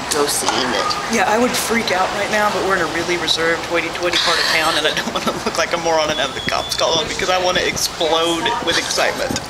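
The speech moves at a very fast pace over loud background noise. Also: hardly any pauses. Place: street. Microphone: phone near.

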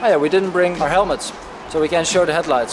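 A high-pitched man's voice with fairly even intonation and noticeable background noise. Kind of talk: casual explanation of bike setup. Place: street.

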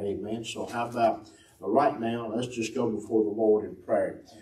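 Audible room echo around a man's speech. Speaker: host of a church broadcast. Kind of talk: opening remarks and prayer. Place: church.

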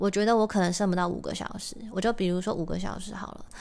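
Speaking at a fairly quick pace with fairly even intonation, the woman has an unremarkable speaking voice. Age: 30s. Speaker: podcast host and musician. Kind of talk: casual solo talk.

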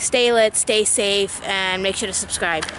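A woman speaks with monotone, flat intonation. Light background noise sits behind her. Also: dry sound with no echo. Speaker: vlogger. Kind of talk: casual vlog chat. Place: open country. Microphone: phone near.

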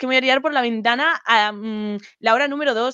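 With a Spanish accent, a woman speaks with ordinary pitch variation in a dry sound with no echo against a quiet background. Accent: Peninsular Spanish. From Spain. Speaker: programming streamer; guest. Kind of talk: casual chat. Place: home room. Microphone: video call.

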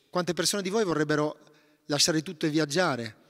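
Over a quiet background, the speech runs at a very fast pace with ordinary pitch variation. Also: man. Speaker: meditation teacher and author; guest. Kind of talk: talk on forgiveness at a retreat. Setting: monastery gathering with audience. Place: church. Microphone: initially too quiet; handheld.

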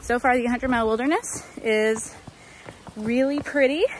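A woman speaks at a fairly slow pace in a dry sound with no echo, with light background noise behind her. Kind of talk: casual vlog chat. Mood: cheerful, relaxed. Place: forest. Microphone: phone near.

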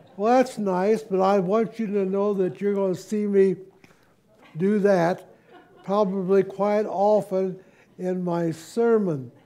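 A man speaks in a high voice at a very slow pace. Long pauses come often. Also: fairly even intonation. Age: old. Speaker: preacher. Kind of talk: sermon. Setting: church. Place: church.

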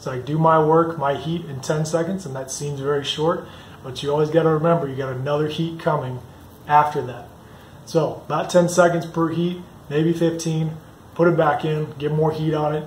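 A man speaks at a moderate pace in a monotone, flat intonation, with light background noise and audible room echo. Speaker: blacksmithing instructor. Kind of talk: tutorial. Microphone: phone near.

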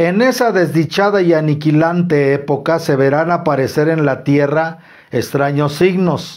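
A man speaks at a fairly slow pace with a slightly mellow tone. His pitch is fairly high, with ordinary pitch variation.

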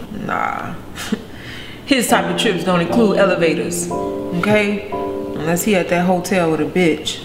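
A woman talks at a fairly slow pace while clear music plays in the background. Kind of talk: confessional monologue. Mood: frustrated, indignant.

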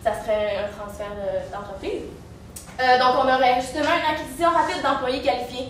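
A woman speaks in a high voice. There is light background noise and audible room echo. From Quebec. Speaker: business student in a case competition; presenter. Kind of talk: team case presentation to judges. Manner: halting, many fillers. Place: classroom. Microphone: camera far.

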